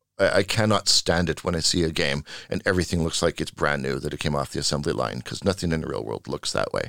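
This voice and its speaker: A man with a Western Canadian accent, very deep and low in pitch, at a very fast pace, in a very clean recording with a silent background. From Canada, Vancouver. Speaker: video game art producer. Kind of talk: interview conversation.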